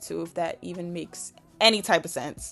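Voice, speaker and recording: The pace of speech is moderate. Background music plays throughout. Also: woman. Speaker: nail artist. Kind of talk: tutorial. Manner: casual, chatty.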